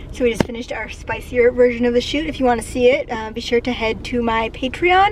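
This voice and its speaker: A high-pitched woman's voice with ordinary pitch variation over noticeable background noise. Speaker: cosplayer and content creator. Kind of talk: casual vlog. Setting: at home. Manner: casual, filler-heavy.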